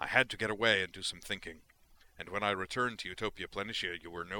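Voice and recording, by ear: Pitch varies in an ordinary way as the speaker is reading aloud in a natural voice.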